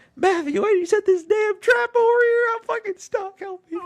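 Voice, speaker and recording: In a put-on character voice, the speaker uses an extremely high pitch at a moderate pace. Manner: annoyed, distressed.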